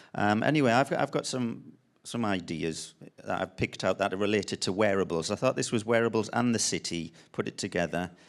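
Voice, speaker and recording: A man with a Sunderland accent talks at a fairly quick pace with ordinary pitch variation, in a very clean recording with a silent background. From northern England, Sunderland. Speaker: designer and artist. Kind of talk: panel talk presentation. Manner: halting, many ums and restarts.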